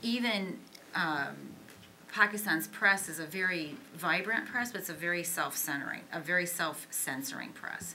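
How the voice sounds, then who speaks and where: In a room with audible echo and noticeable background noise, a woman speaks in a fairly low pitch with ordinary pitch variation. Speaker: author and Pakistan military expert. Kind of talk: Q&A answer at policy panel. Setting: auditorium with audience. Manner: fast.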